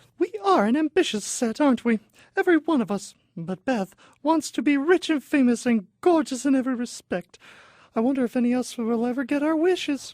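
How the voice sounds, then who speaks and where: Doing a put-on character voice, a woman speaks at a high pitch and fairly quick pace with lively intonation. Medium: audio drama.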